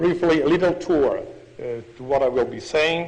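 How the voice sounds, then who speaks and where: Noticeable background noise and audible room echo sit behind the voice. A man speaks at a fairly quick pace. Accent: Italian. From Italy (Padua). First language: Italian. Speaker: pediatrician and professor giving a history lecture. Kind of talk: lecture. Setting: podium before an international audience. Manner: halting, non-native phrasing.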